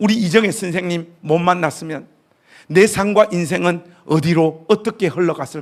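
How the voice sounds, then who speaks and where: A man speaks with a high pitch. His tone is animated. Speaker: pastor, guest revival speaker. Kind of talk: sermon. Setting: church revival meeting with congregation.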